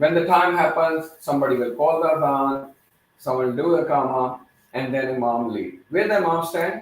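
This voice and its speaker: A man with a non-native accent speaks at a moderate pace in a fairly high pitch. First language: not English. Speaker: teacher / youth workshop leader. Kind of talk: interactive talk to children. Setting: training facility, live-streamed. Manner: halting, with fillers.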